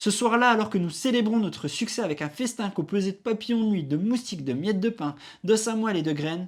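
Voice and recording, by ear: Natural-voiced reading aloud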